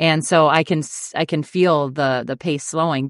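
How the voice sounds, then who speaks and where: A normal speaking voice with an American accent, ordinary pitch variation, and a dry, close sound with no echo over a quiet background. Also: woman. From Minnesota, US (small town, Dawson). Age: 40s. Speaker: Olympic runner turned sports broadcaster and coach. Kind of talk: casual podcast interview.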